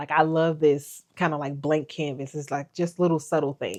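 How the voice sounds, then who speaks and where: A woman speaks in a very deep, low voice. The background is quiet. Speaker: vlogger and motivational speaker. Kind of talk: casual vlog monologue. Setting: at home, sitting on her couch. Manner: loud; animated.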